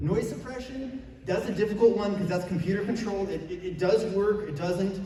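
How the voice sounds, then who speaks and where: A man speaks loudly at a fairly quick pace, his pitch high with ordinary variation. There is noticeable background noise and audible room echo. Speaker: convention panelist. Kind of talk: convention panel talk.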